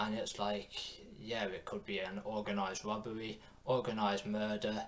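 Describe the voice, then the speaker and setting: A man's fairly low voice at a moderate pace, over noticeable background noise. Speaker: YouTube reactor. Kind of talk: casual reaction commentary. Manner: stutters.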